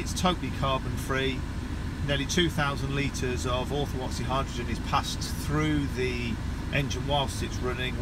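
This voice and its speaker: A man's voice sounds dry with no echo, though loud background noise runs behind it. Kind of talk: commentary. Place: car. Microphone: phone near.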